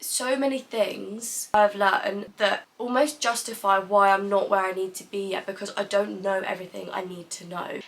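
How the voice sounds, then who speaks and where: A woman with a British accent talks at a moderate pace with hardly any pauses, her medium-pitched voice fairly even in intonation but swinging widely in loudness over noticeable background noise. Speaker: content creator. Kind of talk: vlog monologue.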